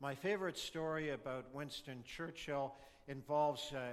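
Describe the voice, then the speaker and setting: An ordinary speaking voice from a man with a Canadian accent, fairly high-pitched with ordinary pitch variation, at a moderate pace. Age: 60s. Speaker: political speaker. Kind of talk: public speech.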